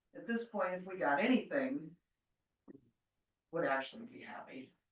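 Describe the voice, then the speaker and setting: A woman with an American accent speaks at a medium pitch, her tone bright and sharp and her intonation lively. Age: 60s. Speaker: county recorder. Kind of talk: public meeting report.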